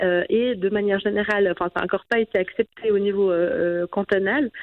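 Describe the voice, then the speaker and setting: A woman's medium-pitched, ordinary speaking voice, fairly quick in pace and with ordinary pitch variation. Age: 30s. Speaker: politician. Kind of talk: radio interview.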